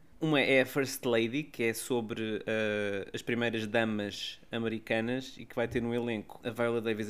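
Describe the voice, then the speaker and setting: Intonation flat and monotone, a man speaks with a European Portuguese accent. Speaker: culture podcast co-host. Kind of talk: casual chat.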